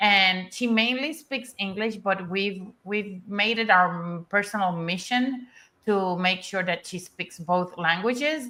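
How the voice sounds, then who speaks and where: A woman speaks very slowly in a Spanish accent, her tone bright and sharp at a medium pitch with ordinary pitch variation. The recording is very clean, with a silent background. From Puerto Rico. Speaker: energetics and embodiment coach. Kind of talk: panel discussion on a live stream.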